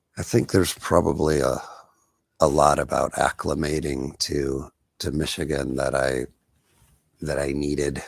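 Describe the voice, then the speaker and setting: A man with a very deep, low voice and vocal fry speaks at a moderate pace with fairly even intonation and long, frequent pauses, in a very clean recording with a silent background. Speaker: internet radio host. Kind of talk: spiritual monologue. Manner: halting with fillers.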